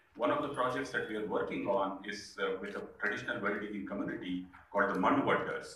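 A man speaks at a very fast pace. The room echo is audible, with light background noise. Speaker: speaker. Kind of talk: speech. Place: hall.

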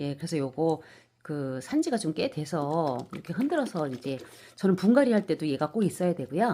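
A woman with a dark, mellow tone speaks with very wide pitch swings in a very clean recording with a silent background. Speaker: succulent-growing YouTuber. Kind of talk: casual vlog talk and plant tutorial. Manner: hesitant, many fillers.

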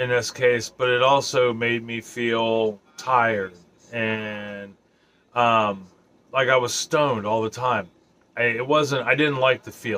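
A man's voice, bright and sharp in tone, very slow in delivery. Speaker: vlogger. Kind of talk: casual vlog chat. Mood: serious, reflective. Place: home room.

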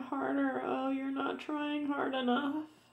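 Fairly slow speech with audible room echo against a quiet background. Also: woman. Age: 30s. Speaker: video blogger. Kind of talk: personal rant to camera. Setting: home video recording. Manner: halting, repetitive. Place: home room. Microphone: phone near.

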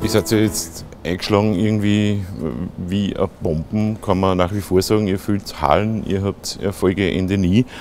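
Over light background noise, a man with a fairly low voice speaks at a fairly slow pace with fairly even intonation in a dry sound with no echo. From Austria. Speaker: interviewer. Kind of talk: casual interview. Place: studio. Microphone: lapel.

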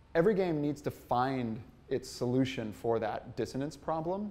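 With an American accent, this man talks at a moderate speed. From United States. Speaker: game designer and writer; speaker. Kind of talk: lecture. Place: hall. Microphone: podium.

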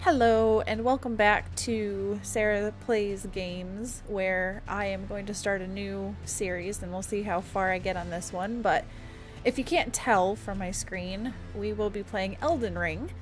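At a fairly slow pace, a woman talks while faint music sits in the background. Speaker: gamer. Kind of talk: casual talk to camera. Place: home room.

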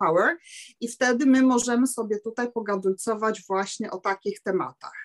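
In a quiet setting, a woman's speech moves at a moderate pace, her intonation lively. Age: 50s. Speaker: seamstress; sales distributor sharing experience. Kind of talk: testimony. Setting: video call. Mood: cheerful, enthusiastic. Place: home room. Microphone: webcam.

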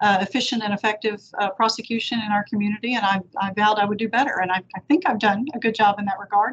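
Her intonation is fairly even. The woman's delivery moves at a fairly quick pace. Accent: Texan. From Victoria, Texas; Texas. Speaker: district attorney; interviewee. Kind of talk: panel interview. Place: office. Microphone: video call.

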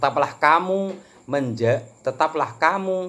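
With lively intonation, a man delivers his words. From Java, Indonesia. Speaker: religious teacher. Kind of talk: lecture. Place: home room. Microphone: phone near.

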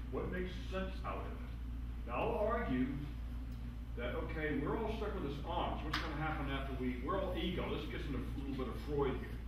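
Someone speaks at a moderate pace amid strong room echo and noticeable background noise. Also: man. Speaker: philosopher. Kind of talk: panel discussion. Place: meeting room. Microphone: camera far.

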